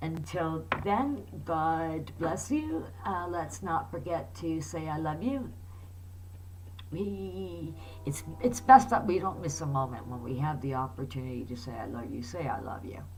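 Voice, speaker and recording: Noticeable background noise beneath fairly slow speech. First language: Italian. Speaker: video blogger on prophecy. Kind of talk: casual monologue to camera. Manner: halting, stammering with fillers.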